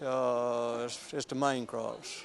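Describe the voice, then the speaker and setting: Here a man speaks in a Southern US accent. His pace is very slow. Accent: Southern US (Georgia). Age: 70s. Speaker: farmer. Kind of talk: casual interview. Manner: halting.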